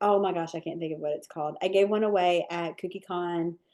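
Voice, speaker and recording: With ordinary pitch variation and a medium pitch, a woman talks in a normal speaking voice. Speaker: cookie decorating instructor. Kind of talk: live online training webinar with Q&A.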